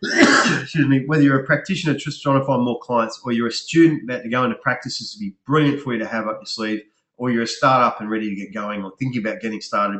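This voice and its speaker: A man's very fast, medium-pitched speech with hardly any pauses, ordinary pitch variation and big swings in loudness. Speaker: business coach for health practitioners. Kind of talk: webinar sales presentation. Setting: online webinar.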